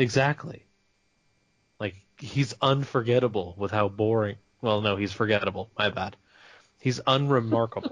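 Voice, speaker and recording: A man with an American accent at medium pitch, somewhat breathy, at a moderate pace with long, frequent pauses, ordinary pitch variation, and a quiet background. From California. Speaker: podcast host. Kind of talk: casual chat.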